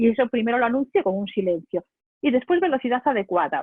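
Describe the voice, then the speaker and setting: A woman's fairly high, animated voice with a Spanish accent and lively intonation. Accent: Spain Spanish. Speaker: public speaking trainer. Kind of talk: webinar lecture. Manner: fast.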